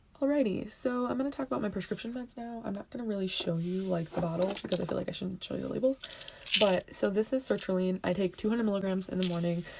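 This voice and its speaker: A woman with an American accent talks at a very fast pace. Her pitch is medium, and noticeable background noise runs behind her. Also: ordinary pitch variation. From California. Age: 20s. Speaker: vlogger with a chronic illness. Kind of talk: casual vlog. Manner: hesitant with many fillers.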